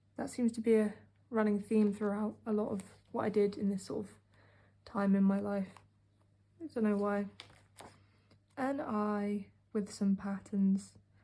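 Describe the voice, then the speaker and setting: Speaking fairly slowly with long, frequent pauses in a British accent, the voice is somewhat breathy and dark, mellow in tone, with fairly even intonation. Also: woman, medium pitch for a woman. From UK. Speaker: art hobbyist vlogger. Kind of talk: casual narration. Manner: sarcastic.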